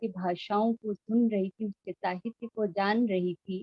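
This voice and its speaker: Somewhat breathy, a woman speaks at a fairly high pitch with fairly even intonation. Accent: Awadh. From northern India, Mirzapur (Uttar Pradesh), Awadhi-speaking. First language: Awadhi (speaking Hindi). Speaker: professor. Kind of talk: lecture. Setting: video call. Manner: formal.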